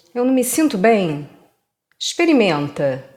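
A woman speaks at a very slow pace. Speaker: poetry reader. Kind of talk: poetry reading, reading aloud a literary text. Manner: contemplative, measured, intimate.

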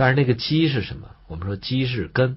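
A somewhat breathy man's voice at a moderate pace, with lively intonation. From China. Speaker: traditional Chinese medicine teacher. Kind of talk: lecture.

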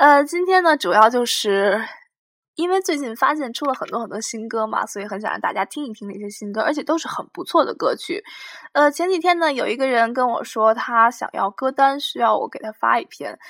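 Her voice sits high in pitch, and she is a woman. She makes very wide pitch swings and big swings in loudness. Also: fairly quick pace. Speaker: podcast host, university student. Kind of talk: casual solo monologue. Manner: hesitant, many fillers.

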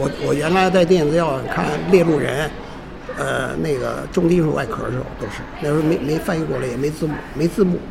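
Fairly high-pitched, a man talks at a fairly quick pace with fairly even intonation. Noticeable background noise and audible room echo fill the recording. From Beijing. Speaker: retired university teacher and film collector. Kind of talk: oral history interview. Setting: pizza restaurant. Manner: halting, repetitive. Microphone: poor sound quality.

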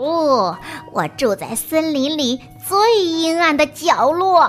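Over clear music in the background, a woman uses a put-on character voice with an extremely high pitch and hissing. She speaks at a fairly slow pace. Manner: hissing through clenched teeth.

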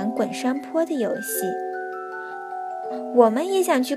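An unforced reading voice delivers the text.

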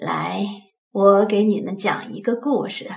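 A woman puts on a gruff character voice at medium pitch, talking at a fairly slow pace.

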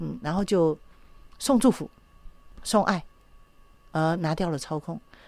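A woman speaks in an ordinary speaking voice, fairly low-pitched for a woman and with lively intonation, on a very clean recording with a silent background. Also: fairly slow pace. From Taiwan. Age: 60s. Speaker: psychological counselor. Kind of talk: radio interview.

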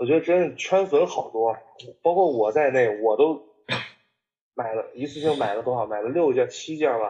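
The intonation of this man is lively. He speaks at a moderate pace. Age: 20s. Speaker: sneaker enthusiast and content creator. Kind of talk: casual chat.

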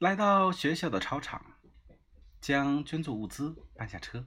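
Fairly slow speech from a man, bright and sharp in tone, with very wide pitch swings. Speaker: podcast host reading his travel diary. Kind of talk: reading aloud.

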